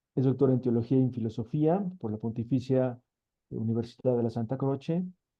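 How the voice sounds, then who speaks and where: Ordinary pitch variation comes through at a fairly quick pace. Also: man. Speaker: seminar moderator. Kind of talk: event introduction. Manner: fast.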